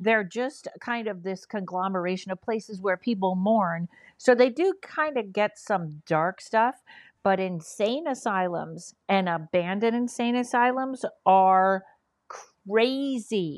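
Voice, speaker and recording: A woman with an ordinary speaking voice talks at a fairly slow pace in a medium pitch with ordinary pitch variation. The background is quiet. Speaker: comedian and paranormal investigator. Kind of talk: casual interview chat.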